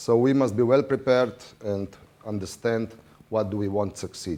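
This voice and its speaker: This man has a dark, mellow tone, a medium pitch and ordinary pitch variation. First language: not English. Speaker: water polo referee official. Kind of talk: lecture. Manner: halting.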